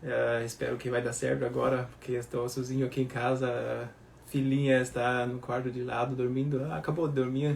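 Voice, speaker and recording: His voice sits at a medium pitch, somewhat breathy, with fairly even intonation and a moderate pace. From Germany. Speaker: baker. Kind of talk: live Q&A stream. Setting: at home.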